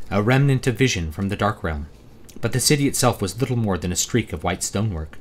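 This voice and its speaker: This man's voice sits fairly low and sounds somewhat breathy. He talks at a fairly quick pace with lively intonation. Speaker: author. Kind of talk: audiobook reading.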